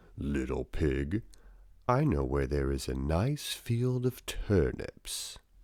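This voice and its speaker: Put-on character voice from a man, very deep and low, at a very slow pace. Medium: read story. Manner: wheedling and menacing.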